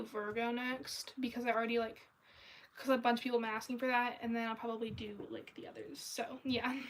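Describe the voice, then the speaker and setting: Against noticeable background noise, a woman with a high voice talks at a fairly quick pace. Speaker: artist livestreamer. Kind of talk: casual livestream chat while drawing. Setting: livestream. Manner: casual, many fillers.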